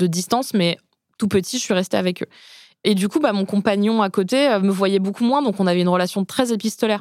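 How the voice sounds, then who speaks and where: A normal speaking voice moves at a fairly quick pace with ordinary pitch variation and very even loudness. The recording is very clean, with a silent background. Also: woman. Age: 30s. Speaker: journalist and author. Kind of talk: casual chat. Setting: studio.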